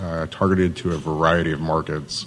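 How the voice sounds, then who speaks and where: A man with an American accent talks at a moderate pace. The recording has audible room echo and noticeable background noise. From Southern California, Hesperia (High Desert). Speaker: city economic development manager. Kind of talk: conference presentation.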